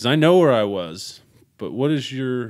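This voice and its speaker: Speaking very slowly, a man with an American accent uses lively intonation. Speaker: podcast host. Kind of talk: casual chat.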